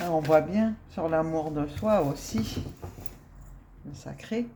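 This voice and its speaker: A soft-spoken woman talks very slowly at a very deep, low pitch, with lively intonation and long, frequent pauses. Her loudness swings widely, and the room echo is audible. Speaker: spiritual card reader. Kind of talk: card reading chat.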